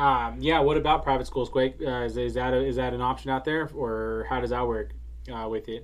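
The speaker is a man with a Californian accent. He talks at a fairly quick pace. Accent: Californian American. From US West Coast, San Francisco Bay Area. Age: 30s. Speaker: podcast co-host. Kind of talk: casual chat. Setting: livestream on social media.

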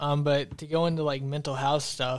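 The speaker keeps a moderate pace and a monotone, flat intonation. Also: man. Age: 20s. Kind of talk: casual chat.

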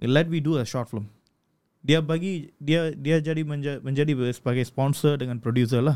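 A plain, everyday voice from a man, fairly high in pitch, at a moderate pace with fairly even intonation. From Malaysia, Kedah (Sungai Petani). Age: 30s. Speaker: film director. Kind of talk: interview.

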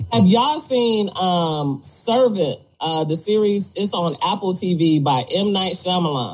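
Somewhat breathy, a woman speaks with a medium pitch at a fairly slow pace. Her pitch swings very widely. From Detroit, US Midwest. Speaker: podcast host. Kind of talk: casual chat.

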